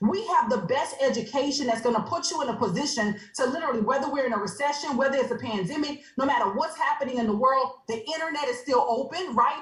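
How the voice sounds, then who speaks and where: A woman's high-pitched, animated voice with lively intonation, a very fast pace and hardly any pauses, over noticeable background noise. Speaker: online business presenter. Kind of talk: sales pitch. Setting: video call.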